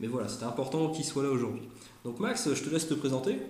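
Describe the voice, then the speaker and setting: A man talking at a fairly quick pace, with audible room echo and noticeable background noise. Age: 30s. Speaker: YouTuber, former airsoft shop manager. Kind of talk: casual chat. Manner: hesitant, many fillers.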